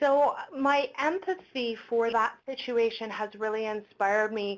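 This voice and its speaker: A woman speaks with a Canadian accent in a normal speaking voice. Her pitch is fairly high, with ordinary variation. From Quebec, outside Montreal. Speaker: health promotion webinar host. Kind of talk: webinar presentation. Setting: online webinar, in a room with colleague.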